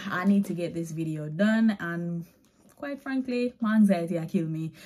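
The pace is moderate. A woman talks with ordinary pitch variation. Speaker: lifestyle vlogger; vlogger. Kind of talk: try-on haul vlog. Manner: casual, chatty. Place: home room. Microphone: phone near.

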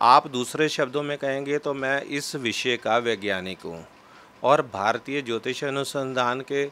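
This man has a bright, sharp tone, ordinary pitch variation, and a fairly slow pace. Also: medium pitch for a man. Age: 40s. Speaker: astrologer; interviewee. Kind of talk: interview. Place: home room. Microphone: handheld.

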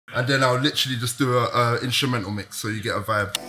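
A very fast pace in a London accent with fairly even intonation. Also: man. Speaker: radio DJ. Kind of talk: interview answer. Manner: casual. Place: studio.

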